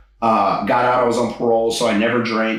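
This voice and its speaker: The speaker has an American accent and talks at a very fast pace. Noticeable background noise runs underneath. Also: man. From Texas, Houston area (Katy). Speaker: stand-up comedian. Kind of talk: interview conversation.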